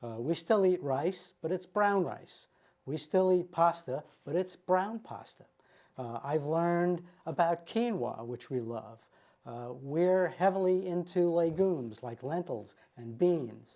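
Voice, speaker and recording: Speaking at a fairly slow pace, a man with a high pitch and a dark, mellow tone shows big swings in loudness. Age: 70s. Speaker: wellness program participant. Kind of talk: testimony. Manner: halting, frequent fillers.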